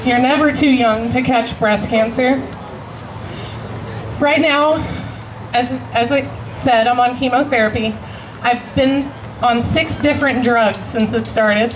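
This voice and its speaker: A woman's high-pitched voice, fairly slow with long, frequent pauses, fairly even intonation and very even loudness, amid audible room echo and noticeable background noise. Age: 30s. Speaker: cancer patient activist. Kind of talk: rally speech.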